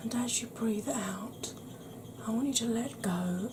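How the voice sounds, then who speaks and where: The speech is very slow, with noticeable background noise behind it. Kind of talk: guided relaxation for sleep.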